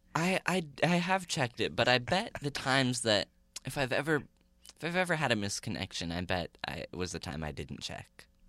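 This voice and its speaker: In a dry, close sound with no echo, a man with medium pitch and a bright, sharp tone speaks at a moderate pace, with vocal fry and very wide pitch swings. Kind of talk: casual interview chat. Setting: studio. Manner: halting, hesitant.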